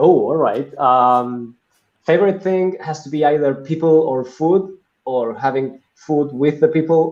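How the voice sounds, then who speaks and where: Speech comes with a Latin American accent at a fairly slow pace. The pitch varies in an ordinary way. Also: man, fairly high pitch for a man. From Argentina, Buenos Aires. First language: Spanish. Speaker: business executive. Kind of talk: interview.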